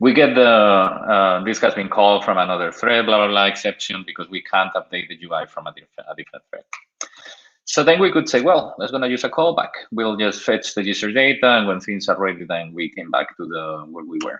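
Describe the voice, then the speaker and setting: The speaker has a Spanish accent, moves at a fairly quick pace, and swings widely in loudness. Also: man. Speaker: software developer, tech speaker. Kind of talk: technical talk. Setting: online video stream. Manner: halting with many fillers.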